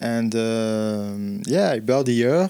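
Very slow speech from a man with a French accent, medium pitch and ordinary pitch variation on a very clean recording with a silent background. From central France. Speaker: bar owner. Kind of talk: casual interview. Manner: halting.

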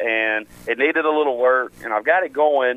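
In a Tennessee accent, this man talks at a moderate pace and medium pitch with ordinary pitch variation. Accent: Southern US (Tennessee). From West Tennessee. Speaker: country singer. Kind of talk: radio interview. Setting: phone call.

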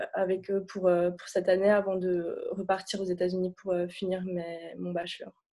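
The tone is dark and mellow, with monotone, flat intonation. Delivery comes at a fairly slow pace. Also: woman. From Lebanon, Beirut. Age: 20s. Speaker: student. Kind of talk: testimony. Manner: halting.

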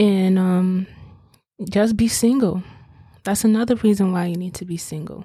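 Speaking at a moderate pace with long, frequent pauses, a woman of medium pitch has a dark, mellow, somewhat breathy tone, fairly even intonation and big swings in loudness. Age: 20s. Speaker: podcast host. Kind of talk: casual monologue.

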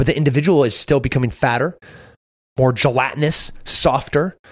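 Here a man sounds somewhat breathy. He talks at a fairly quick pace with ordinary pitch variation. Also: very even loudness. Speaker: military veteran. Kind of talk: casual chat.

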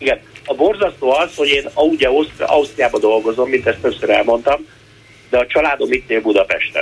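Background noise is noticeable as a man talks at a fairly quick pace. His loudness stays very even. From Hungary. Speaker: chef. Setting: phone call. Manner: animated.

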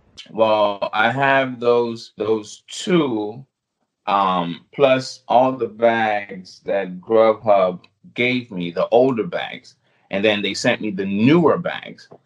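A man talks with a US Virgin Islands accent. His pace is very slow. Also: medium pitch for a man, ordinary pitch variation. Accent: Caribbean (US Virgin Islands). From U.S. Virgin Islands. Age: 30s. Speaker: food delivery driver and YouTuber. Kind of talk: casual interview chat.

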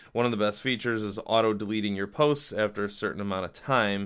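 Speaking very fast, a man keeps to a fairly low pitch. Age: 40s. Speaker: tech podcast host, computer repair consultant. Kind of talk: solo podcast monologue. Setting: home office. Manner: animated, ranting.

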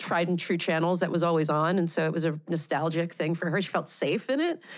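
A woman's normal speaking voice with an American accent, fairly low in pitch and fairly even in intonation, on a very clean recording with a silent background. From Pennsylvania, US. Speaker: VR director and researcher. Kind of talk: interview conversation.

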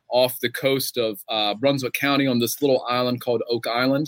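Speaking in a Southern US accent, a man uses a medium pitch, fairly even intonation and a moderate pace. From western North Carolina. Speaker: novelist. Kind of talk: author interview; reading aloud. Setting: bookstore with live audience.

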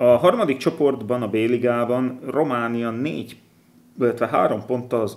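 At a fairly slow pace, a man talks in an unremarkable speaking voice at medium pitch. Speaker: football podcast host. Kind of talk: casual chat.

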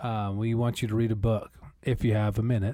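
A man's dark, mellow voice at a moderate pace, with fairly even intonation. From US Northwest (Idaho, Montana). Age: 30s. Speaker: podcast co-host. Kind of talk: casual chat.

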